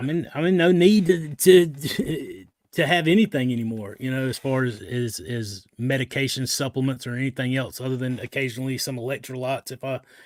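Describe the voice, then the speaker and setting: With a Southern US accent, a man speaks at a medium pitch and fairly quick pace, with hardly any pauses. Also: ordinary pitch variation. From US South. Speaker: live show host. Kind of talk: casual chat. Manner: animated.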